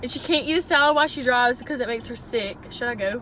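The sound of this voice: Fast and fairly high-pitched, a woman speaks with a bright, sharp tone and ordinary pitch variation.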